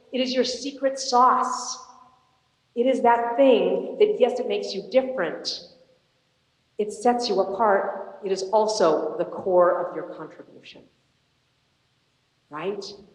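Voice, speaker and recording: A woman's fairly high voice with ordinary pitch variation, a fairly slow pace, long, frequent pauses, big swings in loudness and audible room echo. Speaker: motivational speaker. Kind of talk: inspirational talk. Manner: animated.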